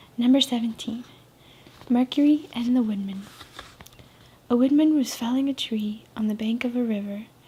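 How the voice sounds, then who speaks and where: Amid noticeable background noise, a high-pitched woman speaks at a moderate pace with fairly even intonation and long, frequent pauses. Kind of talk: soft spoken reading of short stories, ASMR. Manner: soft, whispery, relaxing.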